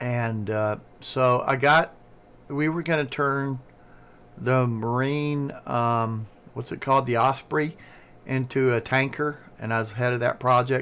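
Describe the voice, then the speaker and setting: A man talks with a Southern US accent at a fairly slow pace. His intonation stays fairly even, broken by long, frequent pauses. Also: medium pitch for a man, very clean recording, silent background. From US South. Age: 60s. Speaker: streamer, retired engineer. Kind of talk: casual chat. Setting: live stream with Discord call.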